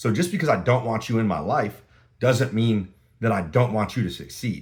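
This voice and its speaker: A man with a medium pitch and vocal fry, at a fairly quick pace. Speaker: podcast host. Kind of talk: solo podcast monologue. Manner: loud; fast, talkative.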